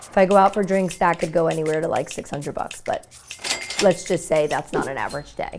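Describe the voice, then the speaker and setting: A woman with a Brooklyn accent talks at a fairly quick pace in an animated tone, her pitch fairly low and its variation ordinary. Background noise is noticeable. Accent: New York (Brooklyn). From New York City (Brooklyn, Bensonhurst). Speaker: lifestyle vlogger. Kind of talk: reality show confessional.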